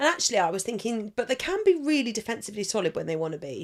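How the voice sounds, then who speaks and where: The pitch swings very widely. The speaker has an English accent. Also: woman. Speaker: fantasy football podcaster. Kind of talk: casual live stream chat.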